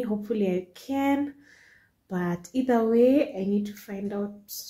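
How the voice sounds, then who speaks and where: In a dark, mellow tone that is somewhat breathy, a woman speaks with ordinary pitch variation against a quiet background. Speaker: home vlogger. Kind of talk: casual vlog chat. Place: kitchen. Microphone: phone near.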